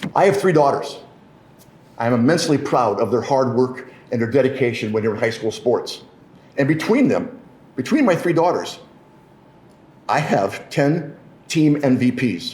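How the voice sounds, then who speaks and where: A man with a Midwestern American accent speaks at a moderate pace in a fairly high pitch for a man, his intonation lively, with long, frequent pauses and audible room echo. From Michigan. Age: 60s. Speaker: politician. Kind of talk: press conference speech.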